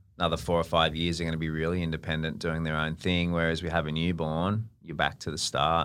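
With an Australian accent, a man talks at a very fast pace with hardly any pauses, his very deep, low voice monotone and flat. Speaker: podcast host's partner. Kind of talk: casual chat. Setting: studio. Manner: loud.

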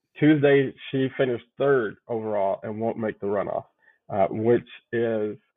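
At a fairly slow pace, a man speaks with a medium pitch and ordinary pitch variation. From Chicago. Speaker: pastor. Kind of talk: interview conversation.

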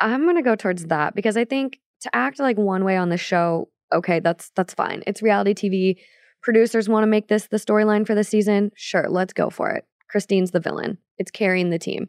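A woman speaks at a medium pitch and fairly quick pace with ordinary pitch variation. The sound is dry and close with no echo, over a quiet background. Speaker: content creator and podcast co-host. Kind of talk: casual chat. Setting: studio.

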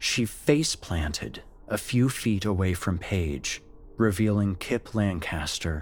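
The reading comes across in a natural reading voice.

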